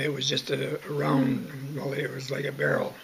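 Over light background noise, a man with a western Canadian accent speaks at a fairly slow pace. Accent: western Canadian rural. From Southern Alberta, Canada. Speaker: oral history interviewee; interviewee. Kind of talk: oral history interview. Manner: halting, many fillers. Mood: calm reminiscing. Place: home room. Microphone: webcam.

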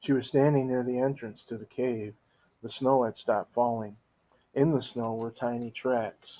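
Reading aloud plainly, the voice keeps its intonation fairly even.

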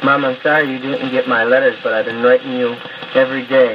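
Noticeable background noise sits behind a man talking at medium pitch with an American accent. He keeps a moderate pace and a monotone, flat intonation. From Utica, New York. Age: young. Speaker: soldier. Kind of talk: recorded audio letter to family. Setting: 1940s record, old 78 RPM disc. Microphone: old recording.

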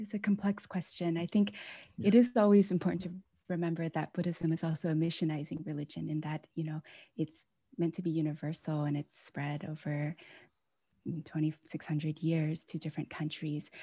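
A woman with an American accent sounds somewhat breathy against a quiet background, the sound dry with no echo. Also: fairly even intonation, moderate pace. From US (Pennsylvania and Washington State); US. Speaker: author. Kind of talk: book talk conversation. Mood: warm, earnest. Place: home room. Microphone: video call.

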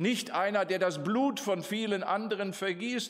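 Against a quiet background, a man speaks very slowly in a high pitch with ordinary pitch variation. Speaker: preacher. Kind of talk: sermon. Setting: church. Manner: formal; earnest. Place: hall. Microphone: podium.

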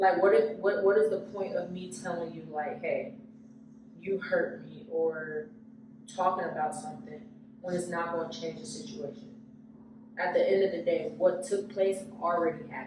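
A moderate pace amid audible room echo and noticeable background noise. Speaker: podcast host. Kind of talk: casual chat. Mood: reflective, earnest. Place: empty room. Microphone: camera far.

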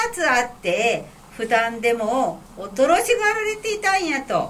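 With a Fukui accent, a woman speaks at a high pitch with very wide pitch swings over light background noise. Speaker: kamishibai storyteller. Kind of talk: picture-story storytelling. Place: hall.

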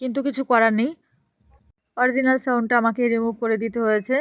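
A woman with an unremarkable speaking voice, fairly high pitch and fairly even intonation. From West Bengal, Nadia district. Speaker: vlogger. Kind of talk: travel vlog narration. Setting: outdoors. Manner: chatty.

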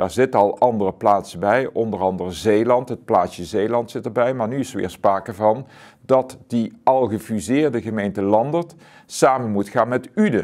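Against a quiet background, a man of medium pitch speaks at a fairly slow pace with ordinary pitch variation. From Zuidoost-Brabant, Netherlands; Netherlands. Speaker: author; interviewee. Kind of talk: interview. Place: studio.

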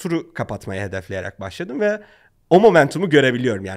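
In a quiet background, a man speaks at a moderate pace. His fairly high pitch makes very wide swings. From Turkey. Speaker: startup founder; podcast guest. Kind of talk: interview. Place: studio. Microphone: studio mic.

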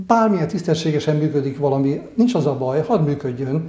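A man speaks at a moderate pace. His voice is fairly high, with audible room echo. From eastern Hungary. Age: 60s. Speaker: local council candidate, retired engineer; council candidate. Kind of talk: candidate interview. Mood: calm, thoughtful. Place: home room. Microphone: lapel.

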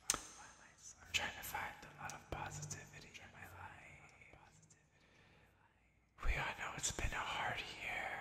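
Someone whispers at a very slow pace. Long pauses come often. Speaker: drag queen ASMR creator. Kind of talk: ASMR personal attention talk to camera. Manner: whispered, quiet. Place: home room.

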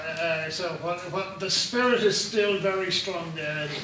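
The pace is moderate. Noticeable background noise and audible room echo are present. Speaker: podcast host interviewer. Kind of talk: on-location interview. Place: hall.

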